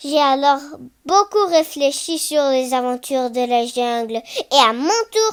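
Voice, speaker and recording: Speaking at a fairly slow pace, a woman with a high pitch uses lively intonation. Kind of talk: literary audiobook reading. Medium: read story. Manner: calm, natural.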